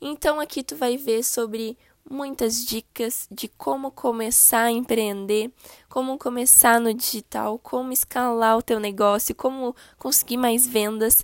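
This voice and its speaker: A woman speaks in a normal speaking voice at a fairly high pitch and fairly slow pace. The sound is dry and close, with no echo. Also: very clean recording, silent background. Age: 20s. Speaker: podcast host and digital marketing consultant. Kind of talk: podcast introduction monologue. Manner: casual, friendly.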